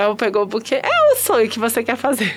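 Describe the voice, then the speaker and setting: Through noticeable background noise, a woman speaks in an animated tone at a fairly quick pace. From Espírito Santo, Brazil. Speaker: podcast host. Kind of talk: casual interview chat. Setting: studio with cameras. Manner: animated, laughing often.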